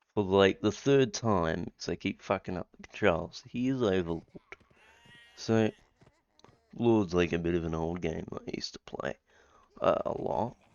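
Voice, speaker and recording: A man mumbles at a very deep, low pitch, with ordinary pitch variation. He keeps a moderate pace and takes long, frequent pauses. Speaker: gamer. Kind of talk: casual gameplay commentary. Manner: mumbling.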